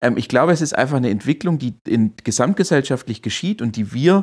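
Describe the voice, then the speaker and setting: Recorded very cleanly against a silent background, a man with an unremarkable speaking voice and medium pitch talks with lively intonation. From Swabia, Germany (Heilbronn region). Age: 30s. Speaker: digital strategy consultant. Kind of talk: interview.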